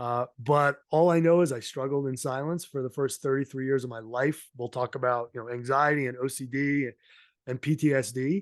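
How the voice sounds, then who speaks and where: In a dry, close sound with no echo and a quiet background, a man with an American accent speaks at a moderate pace and medium pitch, with fairly even intonation. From Massachusetts South Shore (Somerset). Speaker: mental health advocate and podcast host. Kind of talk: casual interview chat.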